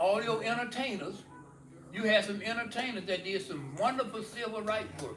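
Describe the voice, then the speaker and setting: With noticeable background noise around him, a man speaks at a high pitch and a moderate pace, using ordinary pitch variation. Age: 80s+. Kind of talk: interview answer.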